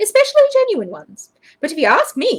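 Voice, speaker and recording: Squeaky and extremely high-pitched, a woman does a put-on character voice at a fairly quick pace. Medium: read story.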